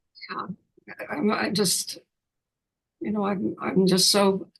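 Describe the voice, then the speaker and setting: The speech moves at a fairly slow pace. Vocal fry runs through the voice. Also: woman. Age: 90s. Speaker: retired mayor and planning commissioner. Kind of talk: interview. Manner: halting, many false starts.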